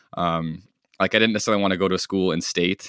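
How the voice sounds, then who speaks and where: A man talks at a very fast pace in a bright, sharp tone. The sound is dry and close with no echo, on a very clean recording with a silent background. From US, rural northern Idaho. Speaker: product development engineer. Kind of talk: casual chat.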